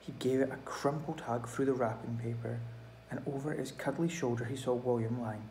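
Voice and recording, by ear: Natural-voiced reading aloud, its intonation fairly even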